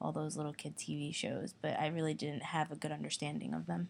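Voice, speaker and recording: A woman with a Spanish accent on a very clean recording with a silent background. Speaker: interviewee, former English learner. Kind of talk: interview.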